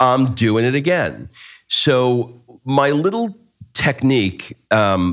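Music plays in the background as a man talks. His pace is very slow, and his intonation is lively. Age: 50s. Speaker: life and business coach, podcast host. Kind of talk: casual chat.

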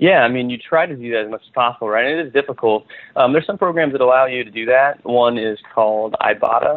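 Speaking very fast with hardly any pauses, a man with a General American accent holds a medium pitch with ordinary variation. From US Midwest, western Nebraska. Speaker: food startup co-founder. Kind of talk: interview.

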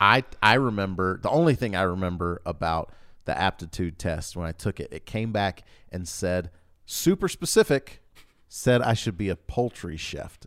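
A man with an American accent, very deep and low in pitch, at a moderate pace with ordinary pitch variation, on a very clean recording with a silent background. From US South (Louisiana, Georgia). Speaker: podcast host. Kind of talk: scripted intro; casual interview. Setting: studio.

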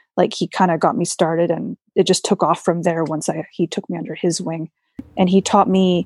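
In a Canadian accent, a woman with an unremarkable speaking voice talks at medium pitch and a moderate pace, on a very clean recording with a silent background and a dry, close sound with no echo. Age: 30s. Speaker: custom motorcycle painter. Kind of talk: interview.

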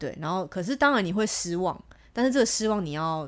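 Very fast and animated, a woman with a fairly low voice talks with lively intonation. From Taiwan. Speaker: podcast guest, international sales rep. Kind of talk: casual chat. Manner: animated, frequent laughter.

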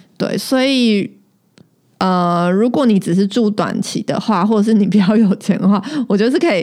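A plain, everyday voice from a woman, medium in pitch, at a moderate pace with ordinary pitch variation. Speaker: podcast co-host. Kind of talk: casual chat.

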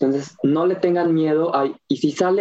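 Fairly even intonation in a central Mexican accent. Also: man. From Mexico, Cuernavaca (Morelos). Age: 20s. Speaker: small business owner, organic gardens. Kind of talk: interview.

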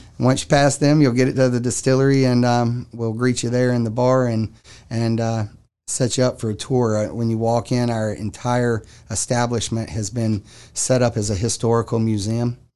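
A man in a Southern US accent, medium in pitch, with a dark, mellow tone, fairly even intonation and a moderate pace. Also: quiet background. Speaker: distillery owner. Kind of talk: interview.

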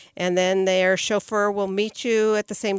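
A woman speaks at a moderate pace in a fairly high pitch. It's a plain, everyday voice, recorded dry and close with no echo. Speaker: podcast co-host. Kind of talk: casual chat.

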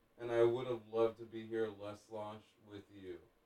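Speech unfolds at a moderate pace. The tone is dark and mellow. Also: man. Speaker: drop-in friend. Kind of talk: casual chat.

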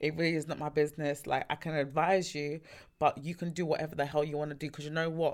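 Very fast and monotone, with flat intonation, a woman speaks at a very deep, low pitch on a very clean recording with a silent background. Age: 20s. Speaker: podcast guest, friend of host. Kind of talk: casual chat.

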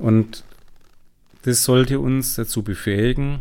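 Very slow in pace, a man speaks with ordinary pitch variation. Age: 40s. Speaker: entrepreneur and business coach. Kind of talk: interview conversation.

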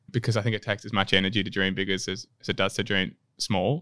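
A man with an Australian accent speaks at a fairly quick pace in a bright, sharp tone, on a very clean recording with a silent background. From Melbourne, Australia. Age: 30s. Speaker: musical theatre performer. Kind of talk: interview.

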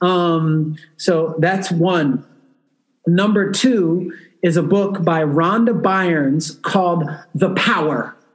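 A man talks at a very slow pace in a high pitch. His loudness stays very even, with ordinary pitch variation. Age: 40s. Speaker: entrepreneur. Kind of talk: casual chat. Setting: remote recording from a hotel.

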